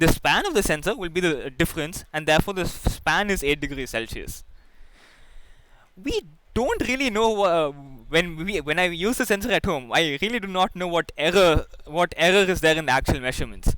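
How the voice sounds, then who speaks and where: A man with a high voice, lively intonation and a fairly quick pace. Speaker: teaching assistant. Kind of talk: online tutorial session. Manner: fast; halting, many restarts.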